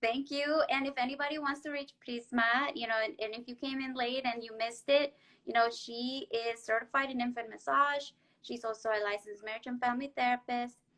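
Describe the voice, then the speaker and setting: In a Spanish accent, a woman talks at a high pitch with fairly even intonation. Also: fairly quick pace. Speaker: therapist and show host. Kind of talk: live-stream interview.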